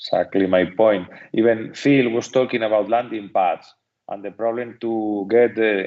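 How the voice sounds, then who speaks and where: Speaking with a strong Spanish accent, a man talks at a moderate pace in a medium pitch with fairly even intonation. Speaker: seminar moderator. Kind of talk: Q&A discussion.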